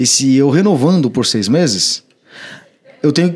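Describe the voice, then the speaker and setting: The man speaks with lively intonation. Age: 30s. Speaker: electrical trade trainer and company director. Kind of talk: casual podcast chat, instructional.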